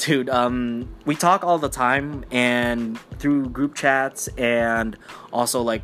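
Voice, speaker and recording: With music playing in the background, a man speaks at a medium pitch with fairly even intonation. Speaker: podcaster. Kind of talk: casual solo podcast. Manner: rambling with fillers.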